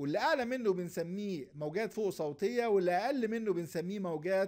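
A man's high voice with an Egyptian accent and lively intonation. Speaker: lecturer. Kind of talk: lecture.

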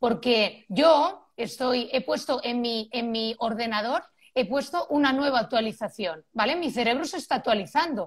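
Her pitch is high and her intonation lively as a woman talks at a fairly slow pace. The background is quiet. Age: 40s. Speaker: parenting expert; guest. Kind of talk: expert interview. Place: home room. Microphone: video call.

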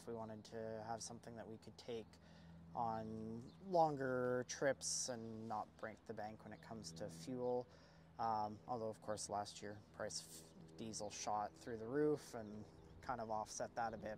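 Over light background noise, a man talks at a moderate pace with ordinary pitch variation and long, frequent pauses, the sound dry with no echo. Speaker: guest. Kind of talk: interview answer. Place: street. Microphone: lapel.

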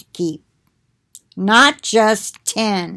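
Before a quiet background, a woman with a fairly high pitch talks at a very slow pace. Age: 60s. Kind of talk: Bible reading with commentary. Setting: recorded at home for video. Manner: conversational, with fillers. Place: home room. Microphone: webcam.

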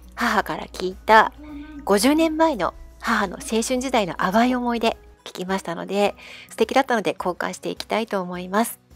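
Music plays in the background as a woman speaks with lively intonation at a fairly high pitch. Her loudness swings widely. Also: fairly quick pace. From Tokyo. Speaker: writer and YouTube channel host. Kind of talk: intro narration to camera.

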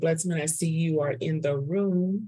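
Speaking at a very slow pace, a woman with a very deep, low pitch sounds somewhat breathy and keeps a fairly even intonation. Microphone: video call.

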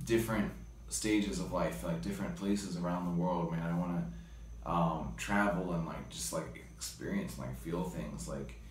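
Very deep and low, a man's voice comes through. Light background noise and audible room echo surround it. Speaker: interviewee. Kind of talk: interview answer. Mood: reflective, earnest. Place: home room. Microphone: phone near.

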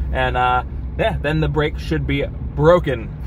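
Noticeable background noise runs behind a man speaking at a moderate pace. His intonation is fairly even, and the sound is dry with no echo. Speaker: car DIY vlogger. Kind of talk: tutorial. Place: car. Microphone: phone near.

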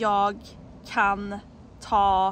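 Against light background noise, a woman talks at a very slow pace in a fairly high pitch, the sound dry with no echo. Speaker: Swedish language teacher. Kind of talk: casual talk to camera. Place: forest. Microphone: phone near.

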